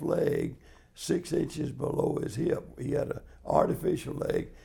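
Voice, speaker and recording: With noticeable background noise behind him, a man speaks at a fairly slow pace with a Southern US accent. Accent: Southern US (Georgia). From US South, Georgia (Marietta). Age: 80s+. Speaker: interviewee in oral history project. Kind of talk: oral history interview. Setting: in-person interview in Sandy Springs, Georgia.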